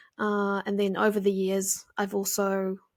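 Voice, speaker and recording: In a New Zealand accent, a woman at medium pitch speaks at a very slow pace on a very clean recording with a silent background. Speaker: podcast host, graphic designer. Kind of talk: casual solo podcast talk. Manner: casual, filler-heavy.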